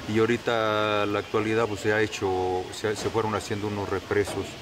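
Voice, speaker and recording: Over noticeable background noise, a man speaks at a moderate pace with a fairly low pitch and fairly even intonation. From Mexico, Hidalgo. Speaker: local worker at tourist site. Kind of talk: interview. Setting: outdoors. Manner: halting. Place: open country.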